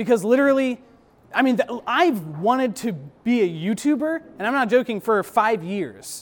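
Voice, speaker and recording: A man with a high-pitched voice speaks at a moderate pace with lively intonation. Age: 20s. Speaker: YouTube creator, speaker. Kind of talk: talk to an audience. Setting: live event with audience. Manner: casual, many filler words.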